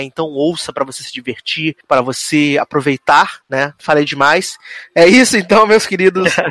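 A man at a fairly slow pace, with a dry, close sound and no echo. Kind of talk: radio dj patter. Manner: chatty, jokey.

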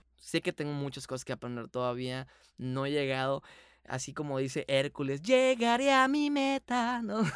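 The man's voice has a dry, close sound with no echo as he speaks at a moderate pace. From Mexico, Hermosillo, Sonora. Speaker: voice actor and dubbing director. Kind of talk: casual interview. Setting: video call.

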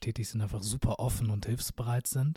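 In a very clean recording with a silent background, a man talks at a medium pitch with a dark, mellow, somewhat breathy tone and fairly even intonation. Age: 20s. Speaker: podcast host. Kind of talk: casual interview.

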